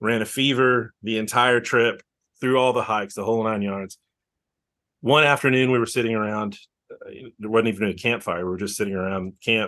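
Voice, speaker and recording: In a Texan accent, a man speaks at a fairly quick pace with a medium pitch and fairly even intonation. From Texas, near Austin. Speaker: outdoor event organizer. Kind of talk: casual interview.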